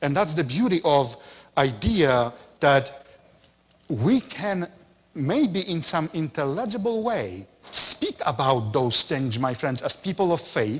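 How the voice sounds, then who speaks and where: A man with a strong non-native accent speaks at a very slow pace in a fairly high, somewhat breathy voice. His pitch swings very widely. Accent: thick foreign. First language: not English. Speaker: parish priest. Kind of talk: lecture. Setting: parish center.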